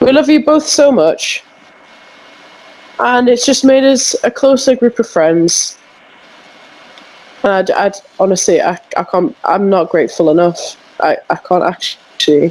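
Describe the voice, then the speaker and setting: Over noticeable background noise, the speech comes at a fairly slow pace with long, frequent pauses. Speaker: podcast co-host. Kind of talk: casual chat.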